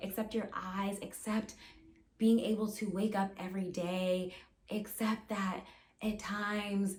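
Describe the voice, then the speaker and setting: In a room with audible echo, a woman speaks fairly slowly in a somewhat breathy, medium-pitched voice with monotone, flat intonation. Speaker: therapist. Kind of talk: advice monologue to camera. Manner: repetitive, many fillers and restarts.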